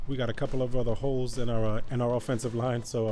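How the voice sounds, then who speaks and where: Over music in the background, a man with a New York accent talks at a very fast pace in a medium pitch, his intonation flat and monotone. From New York City, the Bronx. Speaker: gaming YouTuber. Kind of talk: gameplay commentary.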